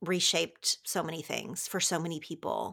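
This woman speaks at a moderate pace in a bright, sharp tone with an American accent, on a very clean recording with a silent background. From Oklahoma. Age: 40s. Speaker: author and podcaster. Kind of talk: interview conversation.

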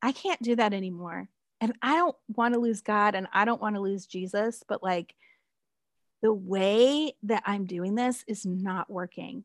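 Her medium-pitched voice moves at a fairly slow pace, and this woman varies her pitch in an ordinary way. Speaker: pastor and author. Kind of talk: casual interview chat. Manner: animated.

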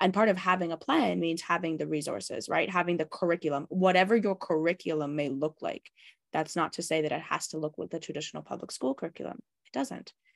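In a dry, close recording with no echo, a woman with a Canadian accent speaks very fast at a fairly low pitch, with ordinary pitch variation and vocal fry. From Canada. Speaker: founder of a homeschooling and tutoring company, former teacher. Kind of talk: podcast interview.

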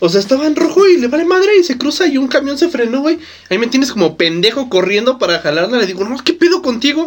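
A man speaks very fast at an extremely high pitch, swinging very widely up and down. Noticeable background noise is present. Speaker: podcast co-host. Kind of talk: casual chat. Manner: animated.

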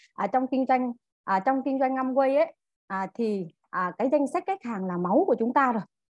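Lively in her intonation, a woman speaks with a high pitch. Her moderate pace comes through in a dry, close sound with no echo. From Vietnam, Central Highlands (Dak Lak). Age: 30s. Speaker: direct-sales distributor. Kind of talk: training talk to audience. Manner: halting, many fillers.

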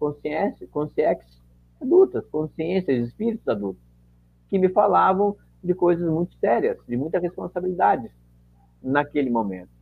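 A man's fairly high voice swings very widely in pitch as he talks at a moderate pace. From southern Brazil, Caxias do Sul (Rio Grande do Sul). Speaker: volunteer and medium. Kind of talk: casual interview.

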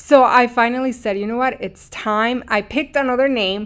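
In a very clean recording with a silent background, a woman speaks with a Mexican accent. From Mexico. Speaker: podcast host, spiritual coach. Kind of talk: scripted intro then casual personal monologue. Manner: warm, earnest, emotive.

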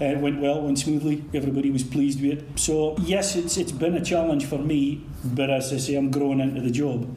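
A man talks with fairly even intonation and hardly any pauses, with audible room echo around him. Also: fairly quick pace. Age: 50s. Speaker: youth organisation volunteer leader. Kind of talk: interview.

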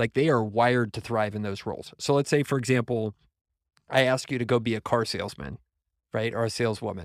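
A man with a plain, everyday voice, medium pitch and ordinary pitch variation, in a very clean recording with a silent background and a dry, close sound with no echo. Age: 40s. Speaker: entrepreneur. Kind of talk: casual chat.

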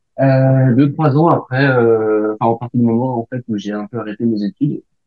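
A man speaks at a fairly slow pace. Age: 20s. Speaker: bicycle courier and ultra-distance cyclist. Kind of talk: casual interview chat.

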